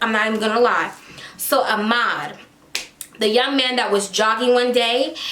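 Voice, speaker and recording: A woman speaks in an animated tone at a fairly high pitch. Audible room echo and noticeable background noise surround her voice. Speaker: celebrity gossip YouTuber. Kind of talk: casual commentary vlog.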